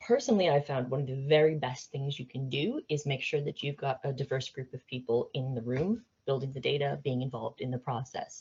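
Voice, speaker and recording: A woman with an American accent talks at a fairly quick pace in a very deep, low, somewhat breathy voice with fairly even intonation. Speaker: AI expert speaker. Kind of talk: presentation to business leaders. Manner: hesitant, many fillers and repeats.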